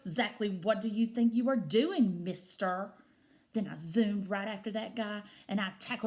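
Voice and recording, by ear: The text is read aloud in a natural voice.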